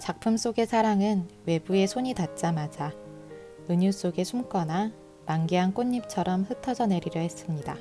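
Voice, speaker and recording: A woman speaks at medium pitch and a moderate pace, with ordinary pitch variation. Her loudness stays very even over music in the background. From Korea. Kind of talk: book prologue reading. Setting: home recording with earphone mic.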